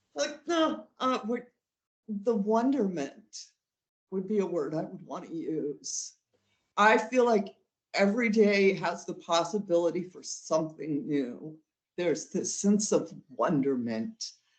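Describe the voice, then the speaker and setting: With an American accent, a woman speaks at a fairly slow pace with very wide pitch swings. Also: medium pitch for a woman. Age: 60s. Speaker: witch and spiritual counselor. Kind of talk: interview.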